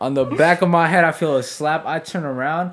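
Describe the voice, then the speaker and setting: With a New York accent, a man speaks at a moderate pace and fairly high pitch, his pitch varying in an ordinary way. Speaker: podcast guest. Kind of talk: casual chat.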